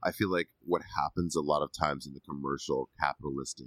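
With a dry, close sound and no echo, a man speaks fairly quickly in a very deep, low pitch, showing vocal fry and ordinary pitch variation. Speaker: podcast co-host. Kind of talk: casual chat.

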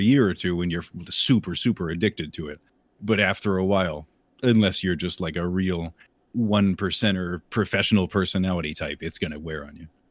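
In a very clean recording with a silent background, a man speaks at a fairly quick pace in a very deep, low pitch. His loudness swings widely while his pitch varies in an ordinary way. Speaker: streamer. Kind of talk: casual chat.

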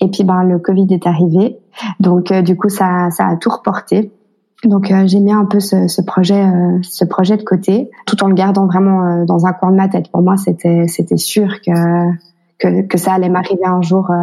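Monotone, flat intonation at a fairly slow pace, with very even loudness and a dark, mellow tone. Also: woman, medium pitch for a woman. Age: 30s. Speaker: single mother. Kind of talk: interview testimony. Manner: halting, many repetitions.

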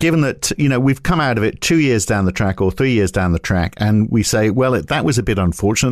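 This man's voice sits fairly low in pitch. He talks at a very fast pace with lively intonation. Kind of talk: podcast discussion. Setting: studio.

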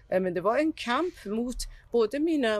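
The recording of this woman is very clean, with total silence behind her. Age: 50s. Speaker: documentary filmmaker. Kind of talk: interview. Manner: halting.

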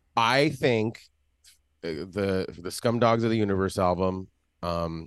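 Against a quiet background, a man with a fairly low pitch talks at a fairly slow pace with ordinary pitch variation. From Los Angeles. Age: 40s. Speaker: musician and tour guide. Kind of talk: casual chat. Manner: animated.

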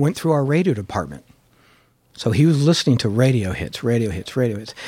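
A man speaks at a fairly quick pace with a Californian accent and a medium pitch. The recording is very clean, with a silent background. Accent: General American (California). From Los Angeles, San Fernando Valley. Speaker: record label general manager. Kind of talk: interview conversation.

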